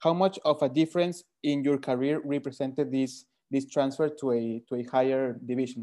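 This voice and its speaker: A man's medium-pitched voice with a Spanish accent, a dark, mellow tone, fairly even intonation and a moderate pace against a quiet background. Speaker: football podcast host. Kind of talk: interview. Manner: halting.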